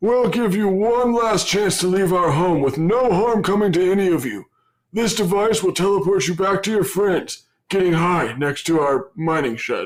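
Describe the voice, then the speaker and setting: On a very clean recording with a silent background, a man performs a put-on character voice. His pitch sits high. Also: moderate pace. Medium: audio drama.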